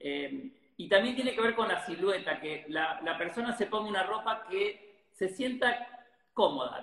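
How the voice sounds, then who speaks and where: A man speaks with a high voice. His pitch rises and falls in an ordinary way. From Argentina, Rosario. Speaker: photographer. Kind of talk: interview.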